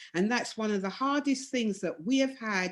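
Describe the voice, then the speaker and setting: A normal speaking voice with lively intonation. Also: woman. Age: 60s. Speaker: domino player and women's team organiser. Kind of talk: video call discussion.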